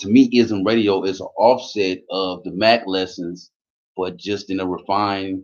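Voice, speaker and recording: Speaking loudly and at a fairly slow pace, a man with a very deep, low pitch uses a passionate tone and fairly even intonation. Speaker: YouTube commentator. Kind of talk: live stream monologue. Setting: live stream. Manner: loud, passionate.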